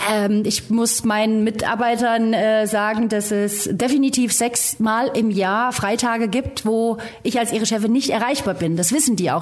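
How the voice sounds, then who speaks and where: A woman's fairly high voice, with fairly even intonation, comes through over background noise that is easy to notice. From rural Germany. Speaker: rally co-driver. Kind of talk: casual interview.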